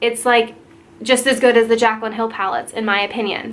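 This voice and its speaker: Against noticeable background noise, a woman talks at a moderate pace in a fairly high pitch with fairly even intonation. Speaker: beauty vlogger. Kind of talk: product review.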